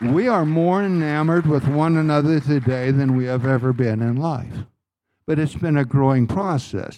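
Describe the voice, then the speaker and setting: A man's dark, mellow tone at a fairly high pitch, with ordinary pitch variation and a moderate pace, over a quiet background. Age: 80s+. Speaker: pastor. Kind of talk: sermon. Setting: church.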